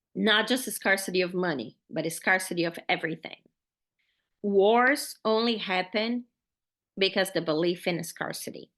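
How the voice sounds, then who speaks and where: A woman with a Brazilian Portuguese accent, medium in pitch, at a moderate pace with ordinary pitch variation and a quiet background. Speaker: podcast host, faith-based money coach. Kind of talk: podcast monologue, motivational teaching. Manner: animated, casual.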